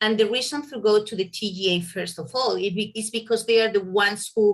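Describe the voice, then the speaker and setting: A woman speaks at a medium pitch. She has a Spanish accent. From Spain. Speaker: veterinarian. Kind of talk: presentation. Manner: hesitant, with fillers.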